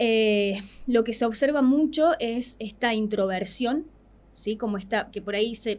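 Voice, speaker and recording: A woman with an Argentine accent speaks at a fairly high pitch. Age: 20s. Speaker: psychologist. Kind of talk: radio interview.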